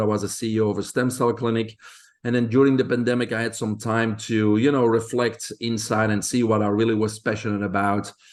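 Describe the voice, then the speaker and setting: Speaking fairly quickly with a Belgian accent, a man holds a medium pitch and monotone, flat intonation. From Belgium. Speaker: health expert. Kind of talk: interview.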